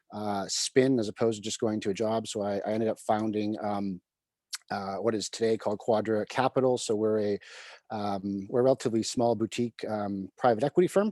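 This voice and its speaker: Speaking with a Canadian accent, a man has a fairly low pitch and a dark, mellow tone at a fairly quick pace. His intonation is fairly even, and the sound is dry and close with no echo. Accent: Canadian, noticeable to UK listeners. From Canada, Vancouver. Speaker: private equity CEO. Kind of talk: interview on live video call. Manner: halting with many fillers.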